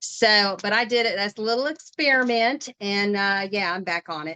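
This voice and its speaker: A woman with a West Virginia accent speaks at a medium pitch with ordinary pitch variation and a bright, sharp tone. The sound is dry and close with no echo, over a quiet background. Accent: West Virginia Appalachian. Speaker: direct sales consultant. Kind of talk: casual chat.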